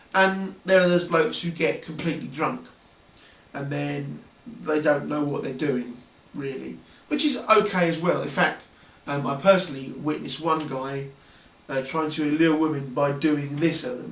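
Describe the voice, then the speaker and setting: With a southern English accent, a man talks at a moderate pace in a fairly high pitch with ordinary pitch variation, amid audible room echo and noticeable background noise. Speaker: video blogger. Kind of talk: casual vlog monologue. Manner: hesitant, many fillers.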